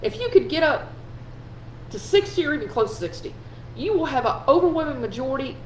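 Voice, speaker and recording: Noticeable background noise accompanies a woman's voice. She speaks in an animated tone at a moderate pace. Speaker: political commentary host. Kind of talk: live stream political commentary. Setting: live video stream.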